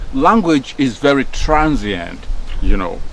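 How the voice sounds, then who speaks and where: With lively intonation, a man with a Nigerian accent speaks over noticeable background noise. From Nigeria, Delta State. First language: Nigerian Pidgin. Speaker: former radio broadcaster. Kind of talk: casual talk. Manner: hesitant, many fillers and repeats.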